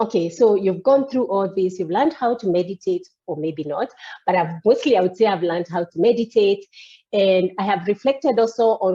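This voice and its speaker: This woman uses an ordinary speaking voice at medium pitch, talking at a moderate pace with ordinary pitch variation. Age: 50s. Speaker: coachee in a coaching demo. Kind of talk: coaching session.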